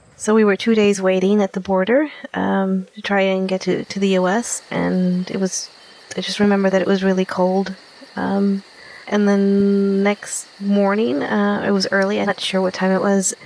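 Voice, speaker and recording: Over noticeable background noise, a woman speaks at a moderate pace in a medium pitch with monotone, flat intonation. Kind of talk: interview testimony.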